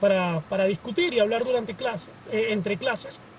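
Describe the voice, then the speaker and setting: The speaker is a man with a high pitch. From Venezuela. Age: 20s. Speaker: student activist. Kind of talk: podcast interview.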